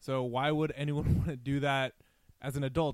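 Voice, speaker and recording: A man with an American accent and a fairly high pitch. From US South, suburbs of Atlanta, Georgia. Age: 30s. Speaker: sports podcast host. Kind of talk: casual chat.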